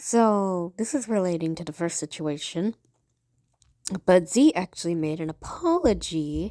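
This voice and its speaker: A woman at medium pitch with a dark, mellow tone, fairly slow, with long, frequent pauses and big swings in loudness, in a dry, close sound with no echo. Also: very clean recording, silent background. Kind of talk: commentary callout video.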